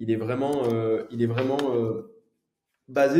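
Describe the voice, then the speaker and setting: In a Toulouse accent, a man talks with monotone, flat intonation amid audible room echo. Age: 30s. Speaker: entrepreneur, consulting firm founder. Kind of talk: podcast interview. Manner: hesitant, many fillers.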